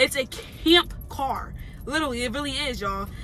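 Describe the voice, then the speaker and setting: Projecting a raised voice at a moderate pace, a woman is heard in dry sound without echo, with light background noise. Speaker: vlogger. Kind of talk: casual vlog chat. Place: car. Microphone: phone near.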